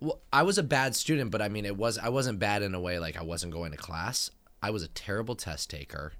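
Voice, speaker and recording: A man with an American accent and a plain, everyday voice talks at a fairly quick pace with a fairly low pitch and lively intonation, recorded very cleanly over a silent background. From Northern California (San Francisco Bay Area). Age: 30s. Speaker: podcast co-host. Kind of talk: casual chat.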